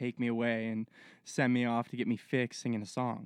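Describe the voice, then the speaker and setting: Here is a man with an unremarkable speaking voice, medium pitch, and fairly even intonation, talking at a fairly quick pace. The background is quiet, and the sound is dry and close with no echo. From Halifax, Nova Scotia, Canada. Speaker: forestry worker. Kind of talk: casual chat. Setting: bush camp.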